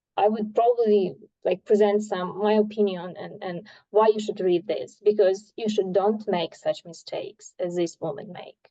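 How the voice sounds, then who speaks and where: Medium-pitched female voice, dark and mellow in tone, with fairly even intonation. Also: moderate pace, big swings in loudness. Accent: Ukrainian. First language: Ukrainian. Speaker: art study group member. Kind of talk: casual group discussion. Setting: video call. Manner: halting.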